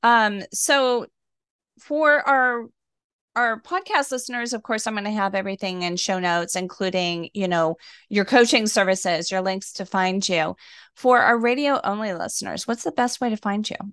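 In a normal speaking voice, a woman talks at a moderate pace with a fairly high pitch and ordinary pitch variation against a quiet background. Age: 50s. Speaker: wellness podcast host. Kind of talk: interview.

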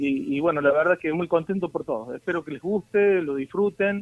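This man's voice sits fairly high in pitch. The pitch moves with ordinary variation. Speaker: cuarteto singer. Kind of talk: radio phone interview. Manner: halting, repeats words.

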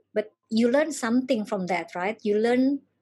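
Somewhat breathy voice of a woman at a moderate pace, over a quiet background. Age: 40s. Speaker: life coach. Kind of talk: workshop talk.

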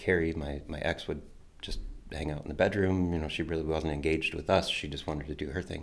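A man with a Midwestern US accent speaks at a fairly quick pace, his very deep, low pitch carrying fairly even intonation. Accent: US Midwest. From Toledo, Ohio. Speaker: storyteller sharing faith journey. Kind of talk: testimony.

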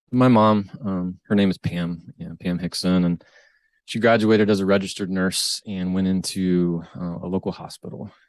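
With a Midwestern American accent, a man speaks at a moderate pace in a very deep, low pitch and fairly even intonation, the sound dry and close with no echo. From US Midwest, Northwest Ohio. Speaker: financial advisor and author. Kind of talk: interview.

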